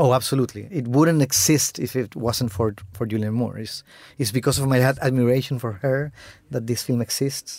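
Speech at a moderate pace with ordinary pitch variation is captured in a very clean recording against a silent background. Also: man, medium pitch for a man. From Chile. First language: Spanish. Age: 40s. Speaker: film director. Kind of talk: interview.

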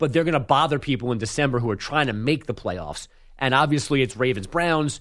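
With an unremarkable speaking voice, a man talks at a fairly quick pace, medium in pitch with ordinary pitch variation. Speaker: radio host filling in. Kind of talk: casual sports talk radio banter.

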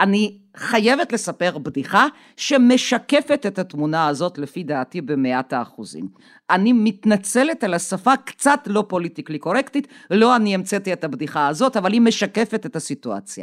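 A woman speaks with very wide pitch swings and vocal fry, in a very clean recording with a silent background and a dry, close sound with no echo. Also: medium pitch for a woman, moderate pace. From Soviet Union. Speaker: Russia expert. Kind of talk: interview.

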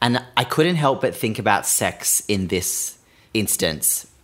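A man with an Australian accent speaks at a moderate pace. His intonation is lively. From Sydney, Australia. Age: 20s. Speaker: podcast host. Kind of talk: casual chat.

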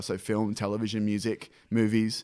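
A man with an Australian accent. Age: 30s. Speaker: film director. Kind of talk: casual chat. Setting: office used as makeshift studio.

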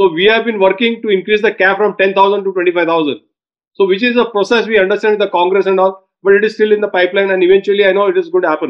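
A man's high-pitched voice at a very fast pace, with fairly even intonation. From India, Baroda (Gujarat). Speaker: anti-trafficking activist. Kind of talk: interview. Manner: emphatic, motivational speaking style.

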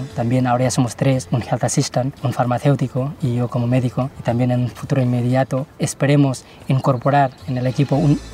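Noticeable background noise accompanies a man speaking at a fairly quick pace, medium in pitch and monotone, with flat intonation. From Catalonia, Girona. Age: 30s. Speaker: doctor and NGO founder. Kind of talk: interview testimony.

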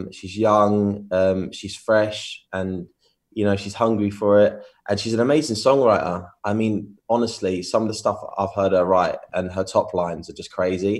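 With an English accent, a man speaks at a fairly slow pace and fairly low pitch, his intonation fairly even, on a very clean recording with a silent background. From England. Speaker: DJ and music producer. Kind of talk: interview.

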